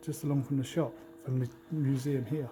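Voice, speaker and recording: Quiet, mumbled whispering at a very fast pace, with a southern English accent, plays over music in the background. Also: man. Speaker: travel vlogger. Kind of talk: casual vlog talk to camera. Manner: quiet, whispering; mumbling.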